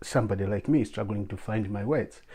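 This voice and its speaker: Against a quiet background, a man with a dark, mellow tone and a somewhat breathy voice talks at a moderate pace. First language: not English. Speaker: YouTuber and blogger. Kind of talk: advice monologue to camera. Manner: halting, stammers in English.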